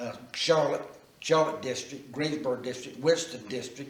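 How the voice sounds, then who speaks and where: There is audible room echo as a man with an Appalachian accent speaks at a fairly high pitch with fairly even intonation. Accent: Southern US, Appalachian North Carolina. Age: 70s. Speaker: local historian. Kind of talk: oral history interview. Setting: church. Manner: halting.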